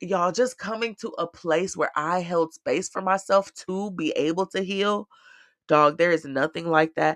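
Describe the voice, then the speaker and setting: An animated tone at a moderate pace against a quiet background. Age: 20s. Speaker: podcast host. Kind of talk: casual monologue.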